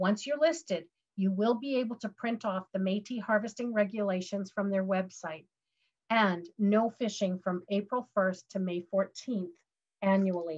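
A woman with a Canadian accent speaks at a moderate pace in a somewhat breathy voice, with ordinary pitch variation and a quiet background. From Western Canada. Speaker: legal education presenter; presenter. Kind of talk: webinar presentation. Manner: hesitant, many fillers.

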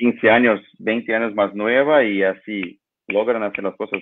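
Over noticeable background noise, a man talks at a fairly slow pace with fairly even intonation and a fairly low pitch. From Brazil. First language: Portuguese (speaking Spanish). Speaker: lighting designer; guest. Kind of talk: interview. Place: home room. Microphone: video call.

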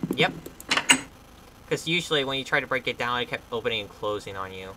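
Someone talks at a fairly quick pace against loud background noise. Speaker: gamer. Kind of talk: casual gameplay commentary. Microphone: camera far.

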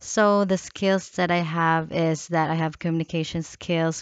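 A woman talks at a fairly low pitch and a fairly slow pace with fairly even intonation. The sound is dry with no echo, over a quiet background. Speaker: job applicant. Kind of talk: self-introduction video. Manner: halting. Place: home room. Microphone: headset.

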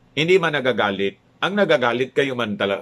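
Talking fairly quickly, a man lets his pitch swing very widely. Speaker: political vlogger. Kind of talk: news commentary vlog. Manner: animated.

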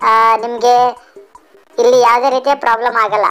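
A female-sounding, put-on character voice speaks at a high pitch and a moderate pace. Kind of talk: comedy spoof dialogue. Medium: dub.

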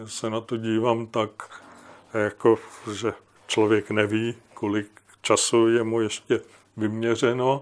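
A man talks at a very slow pace with long, frequent pauses. His medium-pitched voice stays monotone and flat. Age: old. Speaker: historian and writer; guest. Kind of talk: discussion. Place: home room.

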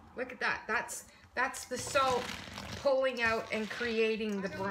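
Noticeable background noise accompanies a woman as she talks. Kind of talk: tutorial. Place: kitchen. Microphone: camera far.

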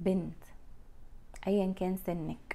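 This is a woman's voice. Her tone is dark and mellow. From Egypt. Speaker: lifestyle vlogger. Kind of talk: casual monologue to camera. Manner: animated. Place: home room. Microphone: lapel.

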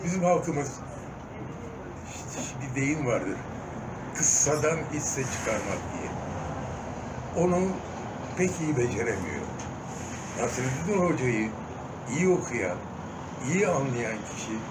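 Loud background noise fills this recording. Over it, a man talks at a very slow pace. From Diyarbakır, Turkey. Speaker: stage and film actor. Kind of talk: interview answer. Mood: earnest, reflective. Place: home room. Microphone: phone near.

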